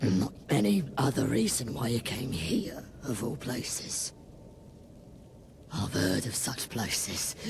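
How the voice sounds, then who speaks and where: A man speaks at a moderate pace in a put-on character voice, raspy and medium-pitched, over clear background noise. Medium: video game. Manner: firm.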